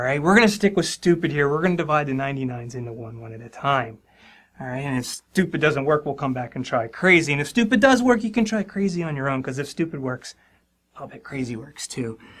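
Speaking at a fairly quick pace, the man's volume rises and falls in big swings. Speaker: math teacher. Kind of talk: tutorial. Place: studio.

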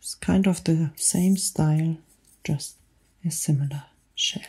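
Her tone is dark and mellow, somewhat breathy, at a fairly low pitch for a woman. The woman keeps a fairly even intonation against a quiet background. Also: fairly slow pace. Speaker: ASMR creator. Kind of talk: soft ASMR show-and-tell. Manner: soft close-mic ASMR whisper. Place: studio. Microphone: studio mic.

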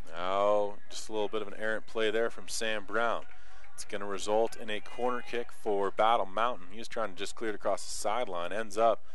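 Animated and excited, a man speaks at a fairly quick pace with a fairly low pitch. The sound is dry, with no echo. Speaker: play-by-play sports announcer. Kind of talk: live sports commentary, play-by-play. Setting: press box at a soccer field. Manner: animated, fast-paced, excited.

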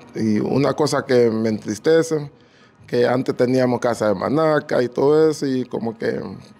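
Pitch variation in this man's voice is ordinary. He talks fairly slowly. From Honduras, Garifuna community on north coast. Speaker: entrepreneur; interviewee. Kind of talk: interview. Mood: reflective, nostalgic. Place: home room. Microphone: handheld.

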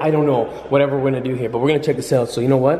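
Words come at a very fast pace with fairly even intonation. Audible room echo hangs around the voice. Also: man.

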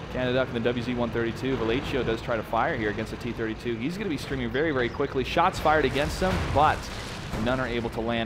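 A man talks very quickly, his pitch varying in an ordinary way, while noticeable background noise carries on behind him. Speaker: esports caster. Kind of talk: live commentary. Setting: studio. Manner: animated.

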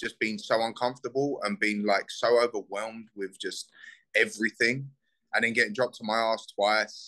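Against a quiet background, a man with a South London accent speaks at a moderate pace in a bright, sharp tone. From Southeast London, England. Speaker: bare knuckle fighter; guest. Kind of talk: casual interview. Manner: animated. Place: home room. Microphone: video call.

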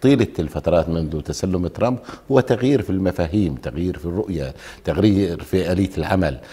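Speaking at a fairly quick pace, a man uses lively intonation in a very deep, low voice. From Jordan (Palestinian refugee family). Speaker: lawyer and former member of parliament; lawyer. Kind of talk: TV political talk show. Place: studio. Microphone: lapel.

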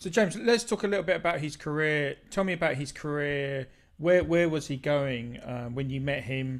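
A man with an Essex accent at a moderate pace, ordinary pitch variation, and a quiet background. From southeast England. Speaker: music channel host. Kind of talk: casual chat. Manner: halting. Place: home room. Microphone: video call.

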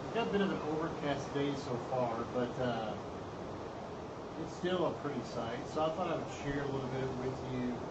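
A man talks at a moderate pace. Loud background noise runs under his voice. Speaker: hobby musician streamer. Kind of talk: casual vlog chat. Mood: relaxed, on vacation. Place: street. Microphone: phone near.

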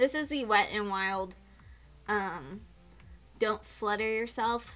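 A woman speaks while faint music sits in the background. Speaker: beauty vlogger. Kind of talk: casual vlog chat. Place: home room. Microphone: camera far.

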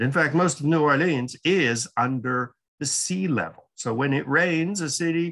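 A man speaking at a very slow pace against a quiet background. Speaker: lecturer. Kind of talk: lecture. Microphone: webcam.

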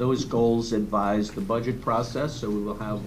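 A man speaks at a moderate pace in a flat, monotone delivery over noticeable background noise. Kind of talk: meeting presentation. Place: meeting room. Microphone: podium.

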